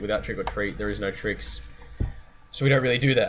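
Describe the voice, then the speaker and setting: Noticeable background noise runs under the recording. A man with an Australian accent talks at a very fast pace. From Sydney, Australia. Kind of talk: casual talk to camera.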